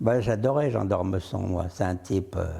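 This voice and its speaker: A man's somewhat breathy, dark and mellow voice, with lively intonation at a moderate pace. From France, Loire region (Roanne area). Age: 80s+. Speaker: painter. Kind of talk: interview. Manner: animated; casual, conversational.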